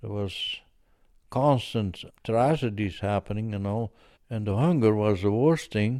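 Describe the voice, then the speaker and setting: Very clean recording with a silent background. A man speaks at a fairly slow pace in a medium-pitched voice with a dark, mellow tone. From Netherlands. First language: Dutch. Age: 90s. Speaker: war veteran. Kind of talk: testimony. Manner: halting.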